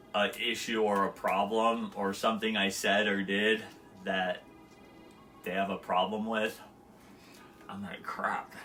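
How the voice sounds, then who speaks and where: Mumbling at a fairly slow pace with long, frequent pauses, a man talks in a fairly low, monotone voice with flat intonation while music plays in the background. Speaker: live streamer. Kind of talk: casual monologue.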